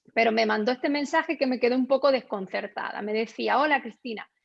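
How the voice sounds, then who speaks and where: A woman speaks at a fairly quick pace in a high voice with lively intonation. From Extremadura, Spain. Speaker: endocrinologist. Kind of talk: webinar presentation. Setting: live online seminar.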